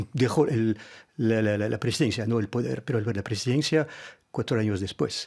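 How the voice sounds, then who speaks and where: On a very clean recording with a silent background, a man with a French accent talks at a medium pitch and a moderate pace, with ordinary pitch variation. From France. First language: French (speaking Spanish). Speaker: diplomat. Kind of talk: radio interview. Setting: radio studio. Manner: halting, many hesitations.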